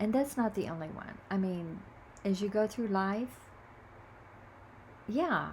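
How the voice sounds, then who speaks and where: A somewhat breathy woman's voice at a medium pitch, fairly slow pace, ordinary pitch variation and long, frequent pauses. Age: 70s. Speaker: video blogger sharing reflections. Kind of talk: casual spiritual monologue. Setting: home video recording. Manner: halting.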